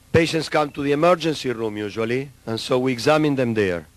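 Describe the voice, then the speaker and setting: Medium-pitched man in a South American Spanish accent, moderate pace, ordinary pitch variation. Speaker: neurologist. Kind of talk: lecture. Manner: halting.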